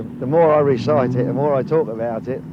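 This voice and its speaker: A man speaks with a Cockney accent at a fairly quick pace, his pitch varying in an ordinary way. Audible room echo and noticeable background noise surround him. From London, East End. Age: 60s. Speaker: tour guide and former dock union activist. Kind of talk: guided tour commentary. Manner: animated.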